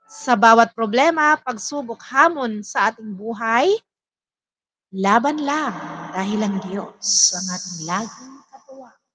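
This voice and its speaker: A woman with a fairly high pitch, a very slow pace, lively intonation and big swings in loudness. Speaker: livestream host and admin of religious program. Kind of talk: closing announcements of live devotion. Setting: live stream. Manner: hesitant, many fillers.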